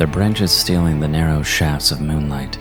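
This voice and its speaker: A man's very deep, low voice with fairly even intonation, music in the background. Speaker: voice actor. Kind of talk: horror story narration.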